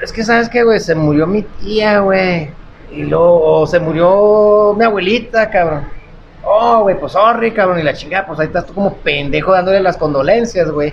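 A man's high-pitched voice at a moderate pace, with ordinary pitch variation and noticeable background noise. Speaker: comedy podcast co-host. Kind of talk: casual chat. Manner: animated.

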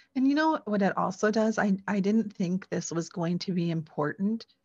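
Speaking in an American accent, a woman with a somewhat breathy voice uses ordinary pitch variation over a quiet background. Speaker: adoptee, blogger and podcaster. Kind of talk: interview.

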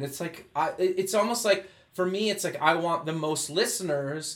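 A man's high-pitched voice cuts through clearly audible background noise. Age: 30s. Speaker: podcast and radio host. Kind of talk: scripted intro; interview.

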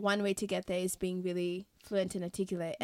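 A woman speaks very fast in a very clean recording with a silent background and a dry, close sound with no echo. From Kenya. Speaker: podcast host. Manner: chatty, laughs often.

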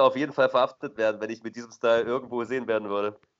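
Speaking in a medium pitch, a man keeps his intonation flat and monotone. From eastern Germany, Dessau. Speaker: returning podcast co-host. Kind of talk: casual chat. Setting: Skype call from abroad. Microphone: poor Skype call quality.

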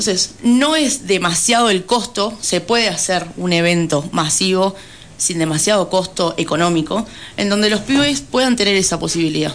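Against noticeable background noise, a woman at medium pitch talks at a moderate pace with lively intonation and very even loudness. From Argentina, Buenos Aires province (Pehuajó). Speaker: city council candidate. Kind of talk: radio interview.

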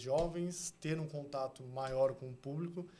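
A man with a fairly high voice speaks at a fairly slow pace, keeping his intonation fairly even. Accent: São Paulo. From São Paulo, Brazil (South Zone). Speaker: art agency co-founder. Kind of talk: casual interview chat.

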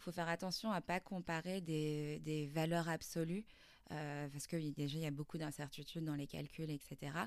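Her intonation fairly even, a woman speaks at a moderate pace in a very deep, low pitch. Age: 30s. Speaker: start-up founder. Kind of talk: interview. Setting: start-up campus. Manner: hesitant, many fillers.

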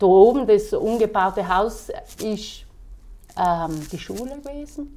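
A woman speaks very slowly in a fairly high voice with a dark, mellow tone, lively intonation and big swings in loudness. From South Tyrol, Ulten valley. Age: 30s. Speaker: innkeeper and horse breeder. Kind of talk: casual interview. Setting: at her inn.

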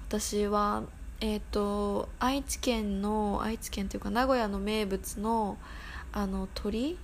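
In a very slow, relaxed, somewhat breathy delivery, a woman speaks at a medium pitch with monotone, flat intonation and audible room echo. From Tokyo, Japan. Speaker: podcast host. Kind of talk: casual solo podcast talk. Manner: relaxed, many fillers.

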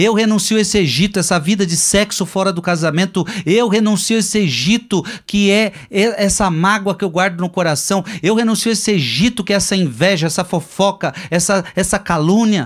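A man with a Brazilian accent speaks at a moderate pace with a high pitch, ordinary pitch variation, very even loudness and hardly any pauses. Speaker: preacher. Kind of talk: Lenten sermon, teaching from a book and the Bible. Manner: direct, repeats phrases for emphasis.

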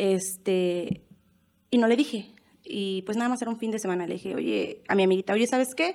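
A woman with an unremarkable speaking voice talks at a moderate pace, medium in pitch with ordinary pitch variation. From Mexico City. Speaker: band singer. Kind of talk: casual chat.

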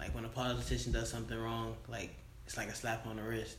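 Very fast speech with audible room echo. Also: man. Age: 20s. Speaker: podcast co-host. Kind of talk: casual chat.

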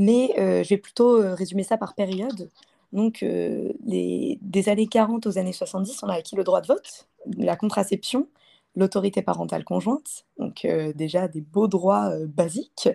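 Against a silent background in a very clean recording, this woman speaks fairly slowly. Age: 20s. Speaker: engineering student. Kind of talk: interview.

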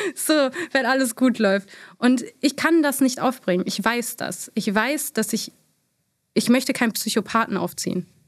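On a very clean recording with a silent background, a woman talks at a moderate pace with ordinary pitch variation and long, frequent pauses. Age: 30s. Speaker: beauty influencer. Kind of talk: interview.

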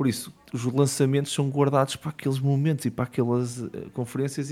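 The speaker is a man. His tone is dark and mellow. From Portugal, Matosinhos (Porto area). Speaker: board game business founder. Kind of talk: casual chat.

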